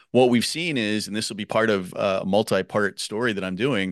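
With an unremarkable speaking voice, a man talks at a fairly low pitch and a moderate pace, the sound dry and close with no echo against a quiet background. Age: 50s. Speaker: podcaster and education activist. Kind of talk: casual interview.

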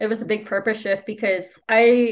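A woman with a Spanish accent and a fairly high pitch. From El Salvador. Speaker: copywriter and rugby player. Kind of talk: interview. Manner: soft-spoken.

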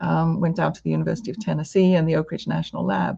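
A woman speaks with a somewhat breathy, dark and mellow tone. The background is quiet. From UK. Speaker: university president. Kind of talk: interview conversation. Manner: hesitant, thoughtful.

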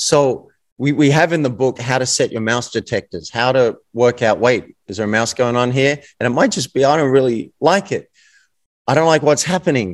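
In a very clean recording with a silent background, a man with an Australian accent talks at a moderate pace with a medium pitch and ordinary pitch variation. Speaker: author and coach.

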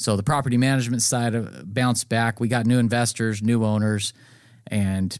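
A man with an American accent speaks in a normal speaking voice at medium pitch and a moderate pace, his intonation fairly even, on a very clean recording with a silent background. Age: 30s. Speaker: real estate broker and property manager. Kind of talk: podcast monologue. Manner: casual, with fillers and restarts.

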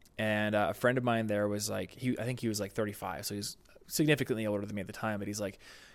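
This man has a normal speaking voice, fairly low in pitch with ordinary pitch variation. He talks at a fairly quick pace on a very clean recording with a silent background. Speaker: YouTube creator and entrepreneur. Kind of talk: interview conversation. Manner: casual, with many fillers.

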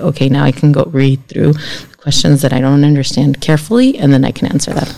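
In a Spanish accent, a woman speaks at a fairly quick pace. Her very deep, low pitch has a dark, mellow tone and fairly even intonation. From California Central Coast (Guadalupe), Mexican-American family. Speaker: college trustee. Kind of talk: interview.

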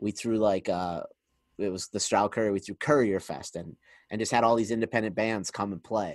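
Against a quiet background, a man with an unremarkable speaking voice talks fairly quickly in a fairly low pitch with fairly even intonation, the sound dry and close with no echo. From Pennsylvania, Scranton. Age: 30s. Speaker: podcast host. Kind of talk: casual interview chat.

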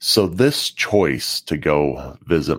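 This is a man speaking. His voice has vocal fry. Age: 40s. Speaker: leadership podcast host. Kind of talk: solo podcast monologue.

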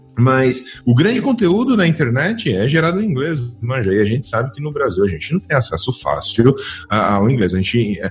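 A man at medium pitch and moderate pace, with very wide pitch swings and noticeable background noise. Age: 30s. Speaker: DevOps engineer and YouTuber. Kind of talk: casual interview chat. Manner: animated.

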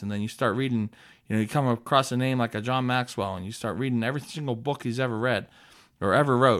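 A man's very fast speech at a medium pitch, with ordinary pitch variation, on a very clean recording against a silent background. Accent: American. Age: 40s. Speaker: podcast host, pizza business owner. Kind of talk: business advice monologue. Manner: casual, energetic.

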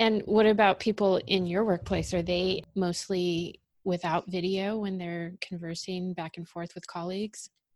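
A woman with a Californian accent speaks at a moderate pace with hardly any pauses, in a medium pitch and monotone, flat intonation. Her loudness swings a lot. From Los Angeles. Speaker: podcast host, digital content marketer. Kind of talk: interview.

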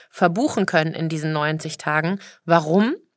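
The background is silent and the recording very clean. The voice is a woman's. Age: 40s. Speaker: personal trainer and fitness podcaster. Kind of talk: motivational monologue.

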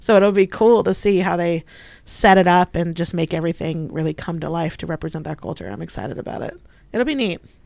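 A woman with a fairly low pitch and some vocal fry speaks with ordinary pitch variation and big jumps in volume over a very clean, silent background. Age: 30s. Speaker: museum communications manager. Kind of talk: casual interview.

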